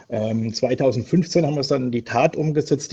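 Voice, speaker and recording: A man's somewhat breathy voice, dark and mellow in tone, at a moderate pace. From southwestern Germany, Palatinate (Pirmasens). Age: 50s. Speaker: wrestling promoter. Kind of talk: casual interview. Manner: hesitant, many filler sounds.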